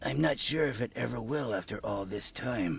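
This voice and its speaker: A raspy, put-on character voice at a moderate pace, over light background noise. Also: man, medium pitch for a man. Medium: game stream. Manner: reminiscing, unhurried.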